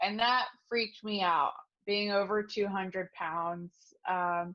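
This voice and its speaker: With fairly even intonation, a woman in a normal speaking voice talks at a fairly slow pace and medium pitch. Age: 20s. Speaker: program participant. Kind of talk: testimony. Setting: video call.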